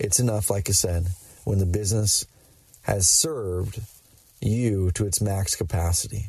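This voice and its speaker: A man's somewhat breathy, fairly low-pitched voice with ordinary pitch variation, very even loudness, a moderate pace and long, frequent pauses. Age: 30s. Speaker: podcast host and entrepreneur. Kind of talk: solo monologue. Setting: in a car. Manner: animated.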